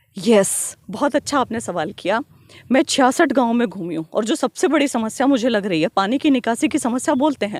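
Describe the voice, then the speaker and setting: An ordinary speaking voice from a woman, fairly high in pitch with lively intonation, at a moderate pace, in a dry, close sound with no echo. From Haryana, Kaithal district (Pai village). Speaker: politician. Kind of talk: interview.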